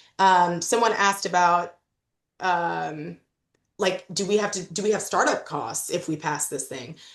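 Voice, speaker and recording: With an American accent, a woman talks at a fairly slow pace and fairly low pitch, with ordinary pitch variation and a plain, everyday voice, against a quiet background. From Illinois, US Midwest. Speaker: legal expert presenter. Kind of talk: presentation at a policy meeting. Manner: casual, direct.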